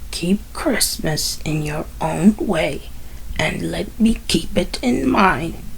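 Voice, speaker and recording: At a very slow pace, a put-on character voice plays over clear background noise. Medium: read story. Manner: curt, contemptuous.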